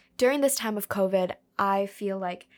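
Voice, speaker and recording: On a very clean recording with a silent background, a woman with an unremarkable speaking voice of medium pitch talks at a fairly slow pace with fairly even intonation. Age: 20s. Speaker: podcast host, university student. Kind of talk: casual monologue.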